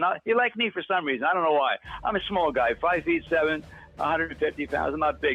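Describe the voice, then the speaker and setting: With music in the background, a man talks at a very fast pace in a high voice. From Philadelphia, US. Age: 80s+. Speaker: war veteran and author. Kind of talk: radio interview. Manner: halting, many fillers and restarts.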